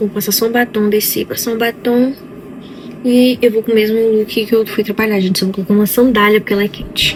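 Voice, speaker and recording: Against noticeable background noise, a woman speaks at a fairly high pitch with monotone, flat intonation. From Brazil. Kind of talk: casual vlog talk.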